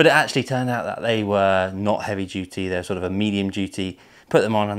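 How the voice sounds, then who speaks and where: Against a quiet background, a man speaks at a fairly quick pace in an ordinary speaking voice. His pitch is fairly low with ordinary variation. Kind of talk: casual vlog chat. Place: garage.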